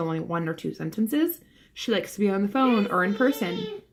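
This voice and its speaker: A woman with an American accent talks at a very fast pace and medium pitch, somewhat breathy, with lively intonation. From Philadelphia, US. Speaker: vlogger. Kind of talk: casual vlog monologue. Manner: hesitant, filler-heavy.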